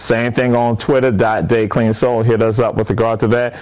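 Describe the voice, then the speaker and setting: A man with an American accent and medium pitch speaks in an animated tone at a moderate pace. There is noticeable background noise. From coastal Georgia / South Carolina Lowcountry. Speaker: professor and museum founder. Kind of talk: casual interview chat.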